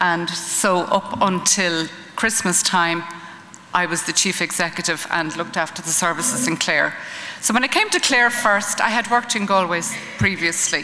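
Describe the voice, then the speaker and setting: In an Irish accent, a woman talks at a moderate pace and medium pitch with ordinary pitch variation, amid noticeable background noise and audible room echo. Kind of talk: conference talk. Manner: hesitant, many ums.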